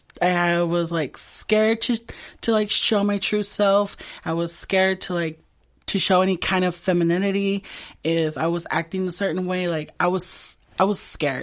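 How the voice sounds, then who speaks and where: In a very clean recording with a silent background, a woman uses a plain, everyday voice at a medium pitch, with fairly even intonation and a moderate pace. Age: 20s. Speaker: community activist and drag performer. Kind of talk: interview.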